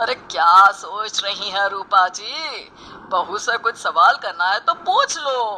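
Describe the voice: A bright, sharp put-on character voice goes along at a slow pace. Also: lively intonation.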